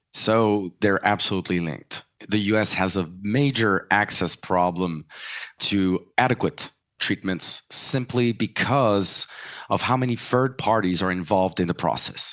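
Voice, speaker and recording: A man with a French accent speaks at a moderate pace in a fairly low pitch, with ordinary pitch variation. The background is quiet. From US, French family. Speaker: pricing and market access consultant. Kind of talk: interview. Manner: hesitant fillers.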